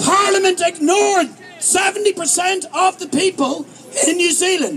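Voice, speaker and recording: A man with an Irish accent and an extremely high pitch, at a fairly slow pace, with crowd noise in the background. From Ireland. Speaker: protest speaker. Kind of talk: rally speech. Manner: animated.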